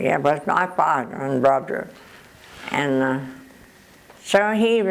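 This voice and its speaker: A woman's very deep, low voice with lively intonation, a very slow pace and noticeable background noise. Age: 80s+. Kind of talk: interview answer.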